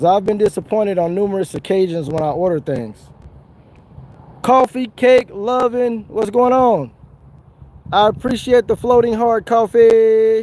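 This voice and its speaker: A man with an American accent talks at a high pitch with a dark, mellow tone, ordinary pitch variation and a fairly slow pace broken by long, frequent pauses. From Southern California. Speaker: fishing livestreamer. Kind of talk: casual livestream chat. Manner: animated.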